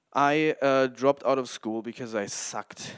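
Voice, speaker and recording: A man with a German accent speaks at a fairly slow pace. The sound is dry and close with no echo, in a very clean recording with a silent background. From Germany. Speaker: independent filmmaker and podcaster. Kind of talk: casual solo podcast monologue. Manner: halting, stumbles over words.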